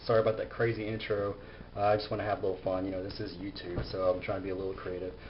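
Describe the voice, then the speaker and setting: A man with a fairly low pitch mumbles at a very fast pace, his voice somewhat breathy and his intonation fairly even. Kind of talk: casual gadget review to camera. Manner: mumbling, halting.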